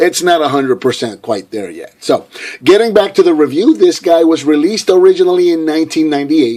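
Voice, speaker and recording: Talking very fast, a man with a fairly high pitch uses lively intonation. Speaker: toy reviewer. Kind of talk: product review. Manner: casual with frequent fillers.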